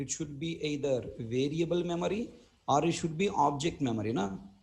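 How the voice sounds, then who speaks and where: With an Indian accent, a man talks at a moderate pace in a fairly high, somewhat breathy voice, swinging widely in pitch amid audible room echo. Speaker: programming instructor. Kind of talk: lecture.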